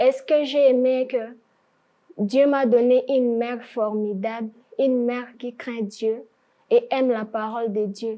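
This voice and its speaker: With a high pitch, a woman speaks at a very slow pace, leaving long, frequent pauses. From DR Congo, Ituri. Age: 20s. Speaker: student sharing life story. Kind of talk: testimony.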